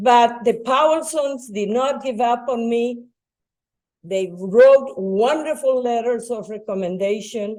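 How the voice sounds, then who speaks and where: A woman speaks very slowly with a Spanish accent. Her pitch is fairly high and varies in an ordinary way. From Bolivia. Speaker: retired educator and school board member. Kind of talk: public talk.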